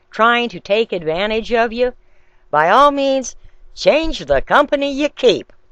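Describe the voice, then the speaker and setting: Using an ordinary speaking voice, a woman talks at a moderate pace with lively intonation, the sound dry and close with no echo. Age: 60s. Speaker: video blogger. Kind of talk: video response monologue.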